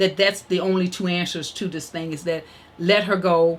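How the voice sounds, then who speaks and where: Noticeable background noise sits behind a woman who talks at a moderate pace and a medium pitch. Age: 70s. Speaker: grandmother of the host's children. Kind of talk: casual chat. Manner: halting.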